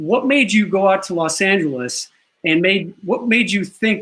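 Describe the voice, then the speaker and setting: Raised and projected, a man's high, bright, sharp voice carries an American accent at a moderate pace. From Chicago, South Side. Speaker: talk show host and actor. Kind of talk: talk show interview.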